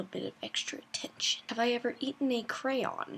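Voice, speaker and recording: A soft-spoken voice talks at a moderate pace. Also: woman. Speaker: vlogger. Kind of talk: casual chat. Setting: bedroom at home at night.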